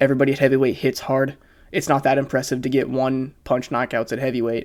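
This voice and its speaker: Speech at a very fast pace is captured on a very clean recording with a silent background. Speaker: MMA commentary YouTuber. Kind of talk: casual analysis monologue.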